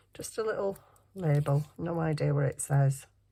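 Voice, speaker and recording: A woman with a northern English accent speaks at a very deep, low pitch and a fairly slow pace, her tone dark, mellow and somewhat breathy. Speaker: crafting youtuber. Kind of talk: craft tutorial. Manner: casual, chatty.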